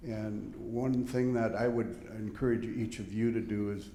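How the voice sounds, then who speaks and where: Audible room echo surrounds a man speaking at a fairly slow pace. His voice is dark and mellow in tone, medium in pitch, with fairly even intonation. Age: 70s. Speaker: audience member, volunteer fundraiser. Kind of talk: audience question.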